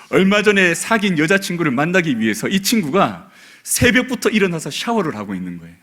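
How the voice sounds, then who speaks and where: A man's bright, sharp tone with vocal fry and very wide pitch swings. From South Korea, Busan. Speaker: pastor. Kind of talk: sermon. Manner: soft-spoken.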